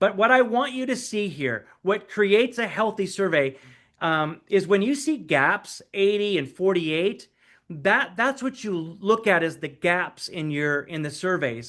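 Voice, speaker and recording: Against a quiet background, a man with an American accent speaks high and at a fairly slow pace, his intonation lively. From United States. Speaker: pastor and church coach. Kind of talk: presentation.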